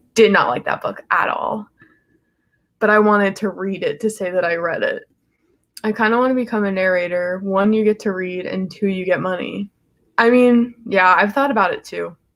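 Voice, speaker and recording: An ordinary speaking voice from a woman, medium in pitch, with ordinary pitch variation and a moderate pace. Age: 20s. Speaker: book youtuber. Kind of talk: casual livestream chat. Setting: solo livestream.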